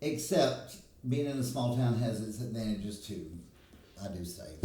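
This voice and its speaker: At a moderate pace, a man talks with lively intonation in a somewhat breathy voice with a dark, mellow tone, amid audible room echo. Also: medium pitch for a man. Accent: Alabama. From US South, Alabama. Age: 60s. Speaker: hairstylist. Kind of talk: casual chat.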